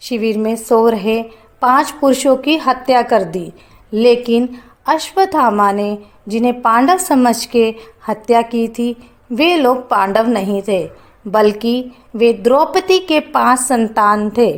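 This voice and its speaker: A fairly high-pitched woman with lively intonation, amid noticeable background noise. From Haryana, India. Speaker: voice-over artist; anchor. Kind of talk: religious festival explainer narration.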